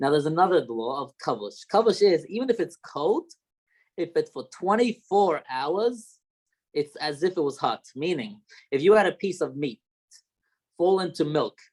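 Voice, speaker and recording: In a slight Australian accent, a man speaks with a high pitch and lively intonation. The pace is moderate, and the sound is dry and close with no echo. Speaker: rabbi. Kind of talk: lecture. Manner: halting.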